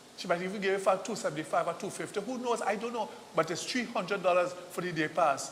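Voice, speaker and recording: A man speaks in an animated tone with a Trinidadian accent, his pitch high and his pitch variation ordinary. The pace is fairly quick, and background noise is noticeable. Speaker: TV host. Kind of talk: live ad read. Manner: repetitive, stammering.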